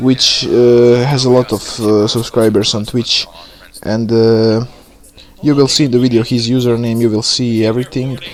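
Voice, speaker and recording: With noticeable background noise behind him, a man of medium pitch speaks in a Bosnian accent at a fairly slow pace, his intonation monotone and flat. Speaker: gaming YouTuber. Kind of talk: video intro monologue. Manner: halting, many fillers.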